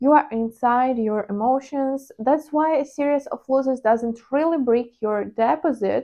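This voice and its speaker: The speaker has a Ukrainian accent. The pace is very slow, and the pitch variation is ordinary. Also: woman. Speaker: trading vlogger. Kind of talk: personal vlog monologue. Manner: hesitant, with fillers.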